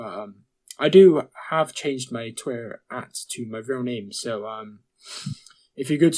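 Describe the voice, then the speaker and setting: In a British accent, a man speaks at a medium pitch. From Britain. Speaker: podcast co-host. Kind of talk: casual chat.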